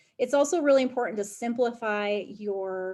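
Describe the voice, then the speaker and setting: Against a quiet background, a woman's fairly high voice carries a dark, mellow tone. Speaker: education program manager and teacher. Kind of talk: webinar presentation.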